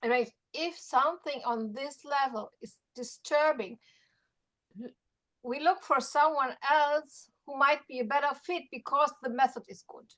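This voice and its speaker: Speaking at a fairly slow pace with a slight German accent, a woman has a high pitch, ordinary pitch variation and big swings in loudness. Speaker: Feldenkrais practitioner. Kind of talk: workshop discussion.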